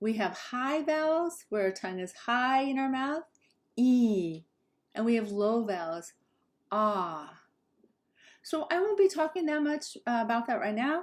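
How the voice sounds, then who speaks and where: An American-accented woman speaks high in pitch with very wide pitch swings, at a fairly slow pace. Long, frequent pauses break up her speech on a very clean recording with a silent background. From Southern California, Los Angeles and Orange County. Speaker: English pronunciation teacher. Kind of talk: tutorial. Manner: slow, careful enunciation.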